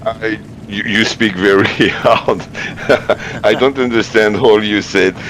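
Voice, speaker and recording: Over noticeable background noise, a man with a French accent speaks at a fairly low pitch and a fairly slow pace, in monotone, flat intonation with long, frequent pauses. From France. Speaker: sim racing driver. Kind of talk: casual interview. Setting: live stream voice call. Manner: halting, many fillers.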